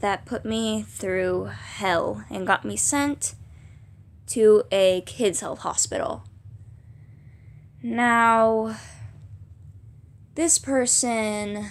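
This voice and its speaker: Her pitch is fairly high with ordinary variation, and the recording is very clean with a silent background. The woman speaks at a very slow pace, with long, frequent pauses. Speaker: vlogger. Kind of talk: personal testimony vlog. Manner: halting, stuttering.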